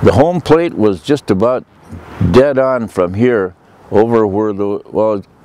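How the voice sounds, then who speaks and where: A fairly low-pitched man with an American accent, lively intonation and a fairly slow pace, over noticeable background noise. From Minnesota, US Upper Midwest. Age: 80s+. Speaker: local elder, former athlete. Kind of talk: reminiscing interview. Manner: hesitant, many filler pauses.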